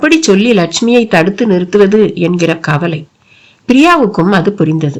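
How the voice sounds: Lively intonation and a natural reading voice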